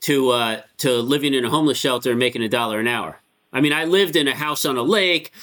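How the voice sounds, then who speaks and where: On a very clean recording with a silent background, a man with an American accent speaks fairly quickly in a bright, sharp tone. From Connecticut. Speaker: rabbi. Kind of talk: interview. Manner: casual, filler-heavy.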